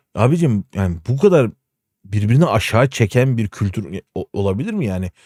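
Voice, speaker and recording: An animated tone with lively intonation in a very clean recording with a silent background. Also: man. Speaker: streamer. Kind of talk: casual live stream commentary. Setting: live stream.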